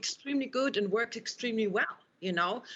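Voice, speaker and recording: Speaking in a German accent at a moderate pace, a woman uses a fairly high pitch. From Austria. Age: 50s. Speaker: university professor. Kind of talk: panel discussion. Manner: halting.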